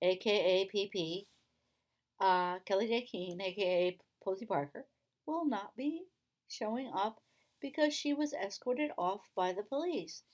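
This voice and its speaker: A woman's medium-pitched, animated voice with lively intonation at a fairly slow pace. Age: 60s. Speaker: YouTuber and activist. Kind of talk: casual vlog monologue. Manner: halting, many repetitions and fillers.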